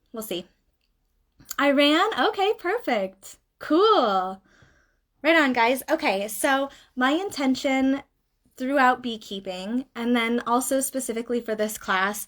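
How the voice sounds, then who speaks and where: Lively intonation marks this high-pitched woman's speech. She talks very slowly, with long, frequent pauses. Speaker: beekeeper. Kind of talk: live-stream class. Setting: live stream.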